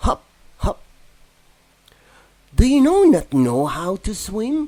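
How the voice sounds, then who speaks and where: Doing a put-on character voice, a man speaks very slowly in an extremely high pitch with a gentle tone. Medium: read story. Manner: gentle, friendly.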